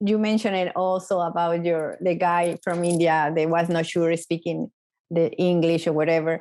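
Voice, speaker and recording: A woman speaks in a Mexican accent with a fairly low pitch. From Mexico. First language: Spanish. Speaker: podcast host. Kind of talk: interview.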